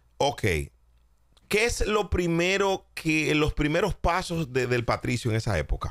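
The pitch swings very widely at a fairly slow pace, with a dry sound, no echo and a quiet background. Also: man. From Dominican Republic. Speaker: podcast host and commentator; podcast host, commentator. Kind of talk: interview. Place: studio. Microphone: studio mic.

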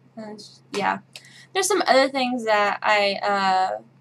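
A woman with a Midwestern accent speaks at a fairly high pitch with ordinary variation over light background noise. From Midwest, Kansas. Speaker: vlogger. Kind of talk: casual talk to camera. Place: home room.

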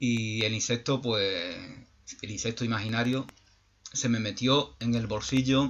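Here a man speaks at a medium pitch. His intonation is flat and monotone. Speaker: YouTube channel host, spiritual speaker; YouTube channel host, speaker. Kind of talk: reflective monologue. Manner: halting, many repetitions and fillers. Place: home room. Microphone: webcam.

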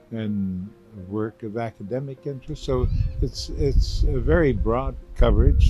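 Faint music plays behind a man speaking at a fairly slow pace. His pitch variation is ordinary, and the sound is dry with no echo. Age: 80s+. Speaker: chemist, Nobel laureate. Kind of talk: interview answer. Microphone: handheld.

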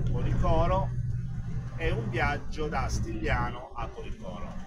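A man speaks over loud background noise. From Apulia, Italy. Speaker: truck driver. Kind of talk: casual talk to camera. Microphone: phone near.

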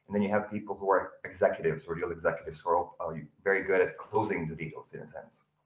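Talking at a very fast pace with hardly any pauses, a man swings widely in loudness amid audible room echo. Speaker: audience member, salesperson. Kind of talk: audience question. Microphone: video call.

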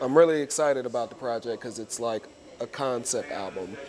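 With an American accent and ordinary pitch variation, the voice sits over light background noise. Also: man. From US Northeast (New Jersey). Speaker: musician and rapper. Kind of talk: casual interview. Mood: relaxed, enthusiastic. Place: studio. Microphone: lapel.

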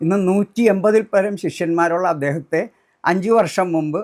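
Intonation stays fairly even as a man speaks at a high pitch. The recording is very clean, with a silent background. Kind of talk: personal testimony.

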